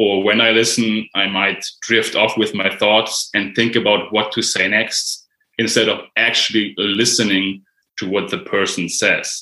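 With a German accent, a man speaks at a fairly slow pace and fairly low pitch in a bright, sharp tone with monotone, flat intonation. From Germany. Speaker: mindfulness writer and online creator. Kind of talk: casual conversation.

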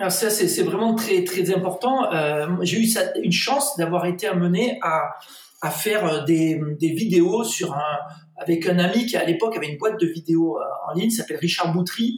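Through noticeable background noise and audible room echo, a man speaks at a high pitch. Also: ordinary pitch variation, moderate pace. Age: 50s. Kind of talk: interview.

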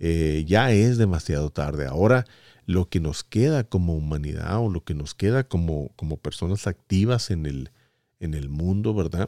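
With a very deep, low pitch and a dark, mellow tone, a man speaks at a fairly slow pace with lively intonation, in a very clean, dry, close recording with a silent background and no echo. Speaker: podcast host and voice-over announcer. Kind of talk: solo podcast monologue. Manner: halting, many fillers and repetitions.

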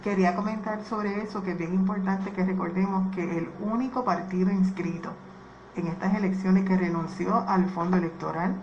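A woman at medium pitch in a monotone, flat delivery at a moderate pace, with audible room echo and noticeable background noise. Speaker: political candidate. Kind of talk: radio panel discussion.

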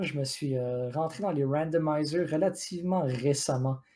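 Very slowly, a voice with a dark, mellow tone makes its way through the words. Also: man. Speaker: video game podcast co-host. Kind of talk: casual chat. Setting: live stream.

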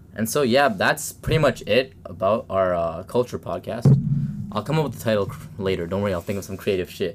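This man has an ordinary speaking voice with a Canadian accent and a fairly low pitch. His intonation is lively and his pace fairly quick. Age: 20s. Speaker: podcast host, student environmentalist. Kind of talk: casual chat. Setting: home basement studio.

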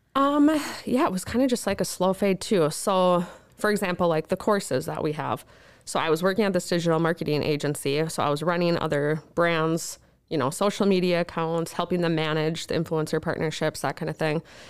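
A woman with an Upper Midwest accent at a fairly low pitch and fairly quick pace, in a very clean recording with a silent background. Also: ordinary pitch variation. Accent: Upper Midwest American. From northern Minnesota. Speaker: remodeling business owner and blogger. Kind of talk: interview.

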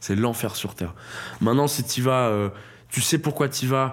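The speaker has an ordinary speaking voice. The pace is moderate, with ordinary pitch variation. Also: man. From France, Toulouse. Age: 20s. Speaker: stand-up comedian. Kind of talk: casual interview chat. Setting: studio.

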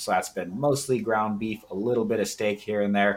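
A man with an American accent has an ordinary speaking voice with a fairly low pitch. He talks at a fairly quick pace with fairly even intonation. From US, Washington. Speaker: nutrition and contest prep coach. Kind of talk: casual chat.

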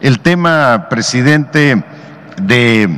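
Over noticeable background noise, a man speaks very slowly with lively intonation. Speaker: state governor. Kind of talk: briefing with slides.

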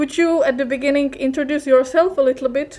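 A woman with a Czech accent speaks fairly quickly at a high pitch, keeping her intonation fairly even. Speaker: podcast co-host. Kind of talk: interview.

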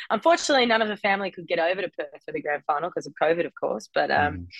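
A woman with an Australian accent. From Australia, Melbourne. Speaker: professional footballer. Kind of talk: casual interview.

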